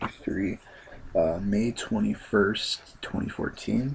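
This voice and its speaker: A man speaks quietly against noticeable background noise. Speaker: comic book video blogger. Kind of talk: casual chat. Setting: at home late at night. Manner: hesitant, many fillers. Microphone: voice a little quiet.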